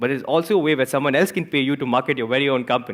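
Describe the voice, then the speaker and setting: Talking at a very fast pace, a man with an Indian accent sounds animated. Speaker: entrepreneur and author. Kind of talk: talk to live audience. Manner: repeats words, halting.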